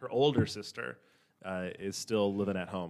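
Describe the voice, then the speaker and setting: A plain, everyday voice with an American accent in a very clean recording over a silent background. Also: man. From Minnesota, US. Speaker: guest. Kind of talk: casual chat.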